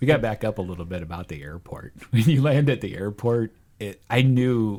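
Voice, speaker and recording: Speaking with a Midwestern accent, a man keeps a moderate pace and ordinary pitch variation. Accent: worst Midwestern. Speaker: adventure traveler. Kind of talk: casual chat.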